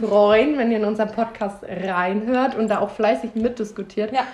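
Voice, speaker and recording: A woman's fairly high, animated voice at a moderate pace, with ordinary pitch variation and noticeable background noise. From Bavaria, Germany. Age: 20s. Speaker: podcast host, trainee childcare worker. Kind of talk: casual chat. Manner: giggly, animated.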